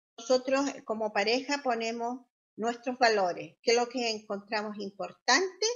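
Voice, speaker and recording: With a normal speaking voice pitched fairly high, a woman talks at a moderate pace with ordinary pitch variation over a quiet background. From Chile. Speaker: social worker and health interpreter. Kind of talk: interview answer. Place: home room. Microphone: video call.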